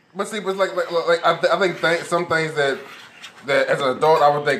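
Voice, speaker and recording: Noticeable background noise is present as a man talks. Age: 40s. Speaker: podcast co-host. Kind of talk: casual chat. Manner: animated.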